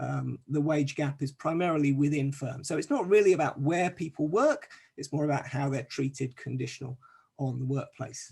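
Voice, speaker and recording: The voice is somewhat breathy. It belongs to a man going at a moderate speed. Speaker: academic researcher presenting a paper. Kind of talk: conference presentation. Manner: hesitant, many fillers.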